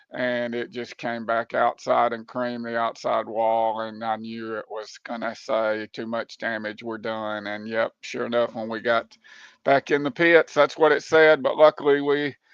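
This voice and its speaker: A plain, everyday voice from a man at medium pitch and a moderate pace, fairly even intonation, big swings in loudness and hardly any pauses. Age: 60s. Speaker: sim racing league driver, former racing crewmember. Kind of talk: podcast interview.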